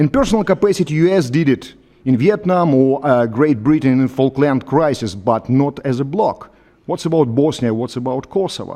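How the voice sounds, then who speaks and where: A man with a Russian accent speaks at a moderate pace in a medium pitch, his tone dark and mellow and his intonation lively. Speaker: professor. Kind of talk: panel discussion. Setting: conference hall with audience. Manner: halting.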